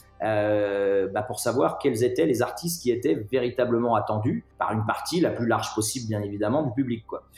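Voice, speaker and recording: Noticeable background noise sits behind a man speaking at a medium pitch with ordinary pitch variation. He keeps a moderate pace with hardly any pauses. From France, Nantes. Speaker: music festival founder and director. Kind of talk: interview. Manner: halting, many repetitions.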